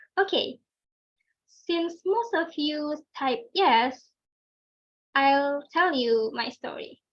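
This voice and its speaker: A woman with an Indonesian accent and lively intonation. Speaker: club speaker. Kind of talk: prepared speech. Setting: video call.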